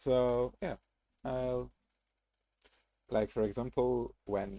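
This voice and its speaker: A man speaks at a very slow pace with a non-native accent, the sound dry and close with no echo. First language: not English. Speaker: gaming streamer. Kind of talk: casual live-stream commentary. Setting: live stream. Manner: halting, many fillers and restarts.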